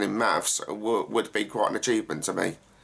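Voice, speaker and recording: A man with an Essex accent speaks at a fairly quick pace. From England, Essex. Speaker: actor and gaming YouTuber. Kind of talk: Q&A vlog, casual talk to camera. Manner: hesitant, many fillers.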